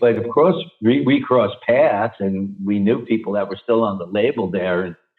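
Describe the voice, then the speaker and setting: In a New York accent, a man talks at a moderate pace. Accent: New York area. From New Jersey. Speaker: rock singer. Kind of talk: interview answer. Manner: casual, candid.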